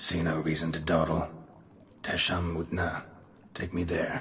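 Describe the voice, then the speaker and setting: Using a cartoonish character voice, a man speaks at a moderate pace with a very deep, low pitch, monotone, flat intonation and a deadpan tone. There is clear background noise and a clear echo. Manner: terse, clipped, deadpan.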